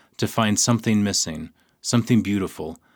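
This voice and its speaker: On a very clean recording with a silent background, a man has a plain, everyday voice, a fairly low pitch and ordinary pitch variation. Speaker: radio host and poetry reader. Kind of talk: poem reading. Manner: slow, measured, hushed and lyrical; deliberate pauses at line breaks.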